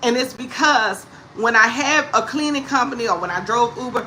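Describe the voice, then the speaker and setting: In a New Orleans accent, a woman speaks at a high pitch with lively intonation over noticeable background noise. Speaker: comedic talk show host. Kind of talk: casual livestream talk to viewers. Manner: animated, upbeat.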